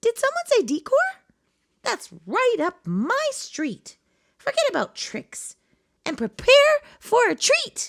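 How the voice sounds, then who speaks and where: A woman's put-on character voice, squeaky and extremely high-pitched, at a fairly slow pace with long, frequent pauses. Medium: read story. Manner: bubbly, warm.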